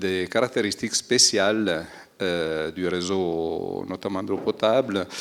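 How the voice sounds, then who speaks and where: Speaking at a very slow pace, a man talks with a strong Italian accent. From Aosta Valley, Italy. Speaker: environmental technician. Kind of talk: panel discussion. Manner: hesitant, many fillers.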